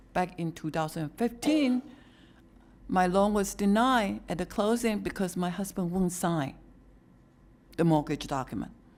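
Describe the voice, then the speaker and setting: A woman at medium pitch speaks fairly slowly with lively intonation and long, frequent pauses. The recording is very clean with a silent background. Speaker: public commenter. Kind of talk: public comment at a government meeting. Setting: county commission meeting, speaking at a microphone. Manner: soft-spoken.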